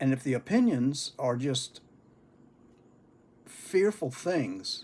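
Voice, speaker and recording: Somewhat breathy, a man with a fairly high pitch speaks at a very slow pace with very wide pitch swings and long, frequent pauses. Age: 70s. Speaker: pipe-smoking vlogger. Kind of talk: casual monologue.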